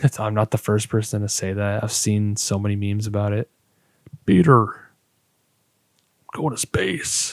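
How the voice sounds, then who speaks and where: At a moderate pace, a man with a fairly low pitch and fairly even intonation speaks with long, frequent pauses in a dry, close sound with no echo. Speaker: podcast host. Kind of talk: casual monologue podcast. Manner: quiet.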